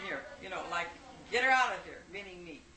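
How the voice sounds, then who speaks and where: A woman with an American accent speaks in a room with audible echo and noticeable background noise. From Detroit, Michigan. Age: 70s. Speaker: elderly interviewee recalling family history. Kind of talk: family oral history interview.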